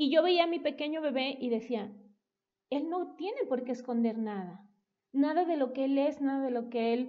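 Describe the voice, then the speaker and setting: A woman with a Mexican accent and a high pitch speaks at a moderate pace. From Mexico, Veracruz (Coatepec). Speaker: parenting educator. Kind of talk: casual interview.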